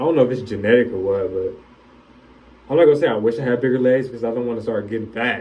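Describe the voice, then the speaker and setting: Loud speech from a man at medium pitch, with noticeable background noise and audible room echo. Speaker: vlogger. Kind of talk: casual vlog monologue. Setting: bathroom, self-recorded.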